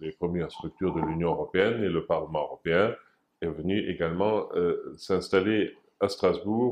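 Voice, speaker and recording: A man with a German accent against a quiet background. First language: German (speaking French). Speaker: former European institution official, association president. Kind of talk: interview. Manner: hesitant, many filler sounds.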